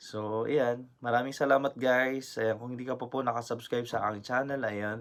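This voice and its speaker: Speaking at a fairly quick pace with hardly any pauses, a man holds a monotone, flat intonation at a medium pitch. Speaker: vlogger. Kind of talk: casual vlog talk. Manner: halting.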